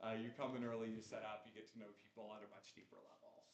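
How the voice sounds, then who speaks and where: A man's voice with audible room echo. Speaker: recovery community leader. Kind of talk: announcements at a gathering. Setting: community gathering room with microphones. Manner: loud.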